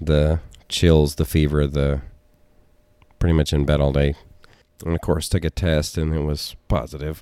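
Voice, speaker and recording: Very deep and low, a man's dark, mellow voice moves at a moderate pace in a monotone, flat delivery with long, frequent pauses. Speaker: podcast co-host. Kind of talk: casual chat.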